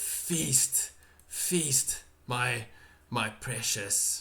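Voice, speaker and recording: A put-on character voice is delivered at a low-to-middle pitch. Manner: hungry, gloating.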